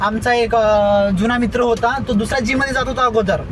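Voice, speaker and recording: A man with an extremely high voice speaks in a monotone, flat way amid audible room echo and noticeable background noise. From India, Nagpur (Maharashtra). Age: 20s. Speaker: YouTube vlogger. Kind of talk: casual vlog chat. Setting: in a car.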